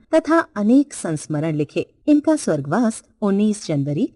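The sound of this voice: An unforced reading voice carries the whole clip.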